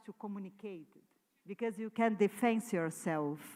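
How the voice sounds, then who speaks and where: In a Portuguese accent, a woman speaks with lively intonation. Her pace is moderate. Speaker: artist. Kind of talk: conference talk. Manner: halting.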